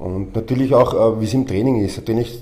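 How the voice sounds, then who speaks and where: The voice shows ordinary pitch variation, with noticeable background noise and audible room echo. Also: man. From Austria, Vienna. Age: 40s. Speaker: professional wrestler and gym owner. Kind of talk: interview. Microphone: microphone problem, switching mics.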